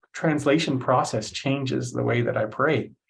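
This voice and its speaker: A man speaks with a Canadian accent at a medium pitch. Vocal fry runs through his voice. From Canada, Cree from Saskatchewan region. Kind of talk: lecture. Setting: online session. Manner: halting, many fillers.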